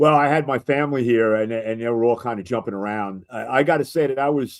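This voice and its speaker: A man with a New York accent talks at a very fast pace in a medium pitch, with ordinary pitch variation. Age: 70s. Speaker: sports radio host. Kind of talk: casual chat.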